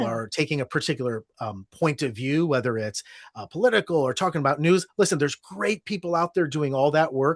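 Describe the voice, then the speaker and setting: A man with an American accent has a normal speaking voice, fairly high in pitch, moving at a fairly quick pace with hardly any pauses. The sound is dry and close with no echo, over a quiet background. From Ohio, United States. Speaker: storytelling podcast host, guest. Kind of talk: interview answer.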